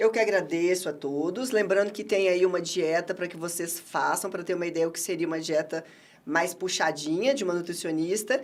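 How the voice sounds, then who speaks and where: Her tone animated, a woman with a fairly low pitch talks at a moderate pace with ordinary pitch variation. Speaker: nutritionist. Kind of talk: interview.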